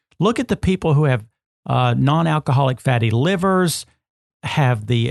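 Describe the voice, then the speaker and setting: A man speaks in a normal speaking voice at a moderate pace, pitched fairly high with ordinary pitch variation. The sound is dry and close, with no echo. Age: 60s. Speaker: health and nutrition podcast host. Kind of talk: podcast conversation.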